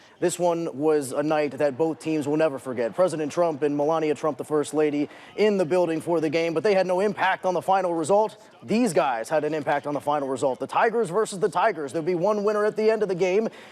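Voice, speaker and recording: A man with a fairly high pitch talks at a very fast pace, with hardly any pauses. Noticeable background noise is present. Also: ordinary pitch variation. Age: 20s. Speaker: sportscaster. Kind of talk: sports news anchoring. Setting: studio. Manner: animated.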